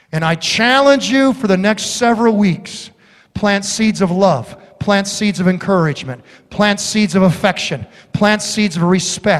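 A man with an American accent speaks in an animated tone at a high pitch, with ordinary pitch variation. He goes at a fairly slow pace, with noticeable background noise behind him. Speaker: pastor. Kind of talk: sermon. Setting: church. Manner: animated, exhorting, repetitive; humorous storytelling.

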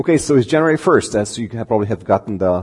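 A man's fairly low-pitched voice with a dark, mellow tone. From Romania. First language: Romanian. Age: 40s. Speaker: preacher giving a sermon. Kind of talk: sermon. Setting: church with congregation.

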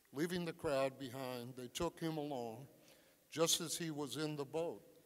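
A man's plain, everyday voice, fairly high in pitch, with ordinary pitch variation at a moderate pace. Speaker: scripture reader. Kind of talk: scripture reading. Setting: church.

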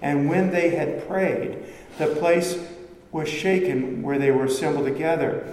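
A man keeps a moderate speed and ordinary pitch variation while noticeable background noise plays behind him. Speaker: pastor. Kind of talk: sermon. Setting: church. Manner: fervent, rising intensity, preaching with urgent conviction; earnest, conversational, explaining.

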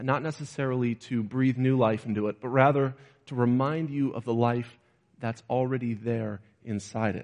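Against a quiet background, a man with a normal speaking voice talks at a moderate pace, with a medium pitch and fairly even intonation. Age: 20s. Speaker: preacher. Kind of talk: sermon.

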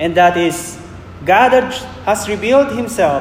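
Noticeable background noise and audible room echo surround a man's voice. He speaks high and at a fairly slow pace, with lively intonation. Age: 40s. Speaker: preacher. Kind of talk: sermon.

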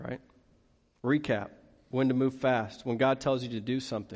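Against a quiet background, a man with an American accent speaks at a moderate pace and a medium pitch. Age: 30s. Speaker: pastor. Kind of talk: sermon.

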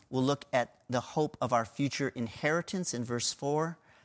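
In a plain, everyday voice with an American accent, a man speaks at a moderate pace and a fairly high pitch with fairly even intonation, recorded very clean against a silent background, with a dry, close sound and no echo. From US (Pennsylvania). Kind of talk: sermon.

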